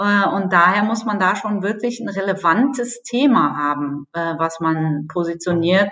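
At a fairly slow pace, a woman talks in a plain, everyday voice at medium pitch. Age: 40s. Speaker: energy company communications manager. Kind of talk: podcast interview.

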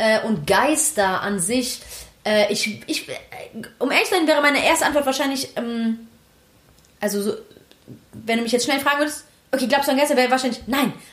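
A woman's high-pitched voice at a fairly quick pace, with lively intonation, long, frequent pauses and noticeable background noise. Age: 20s. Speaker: podcast co-host. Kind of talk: casual chat.

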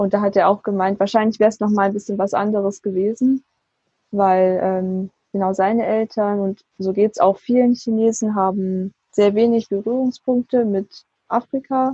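With an ordinary speaking voice, a woman talks at a medium pitch and a moderate pace in fairly even intonation. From southern Germany, Swabia. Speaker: university student. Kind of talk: interview.

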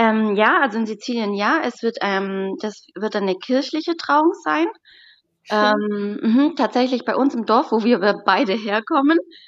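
Her intonation lively, a woman speaks very slowly. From southern Germany, Stuttgart area, Sicilian parents. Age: 20s. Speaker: bride. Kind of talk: interview.

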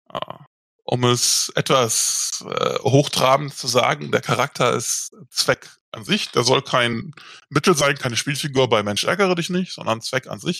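A man speaks at a fairly slow pace with lively intonation. His tone is bright and sharp. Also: fairly high pitch for a man. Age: 40s. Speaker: tabletop role-playing game master. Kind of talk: casual interview. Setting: video call.

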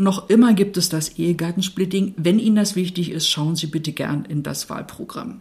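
Somewhat breathy and medium in pitch, a woman talks with hardly any pauses. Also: ordinary pitch variation, moderate pace. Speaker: podcast co-host, municipal equality officer. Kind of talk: scripted conversation on women's voting rights.

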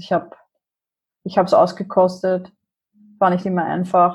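Her voice is somewhat breathy. This woman speaks at a fairly low pitch. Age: 40s. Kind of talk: casual interview.

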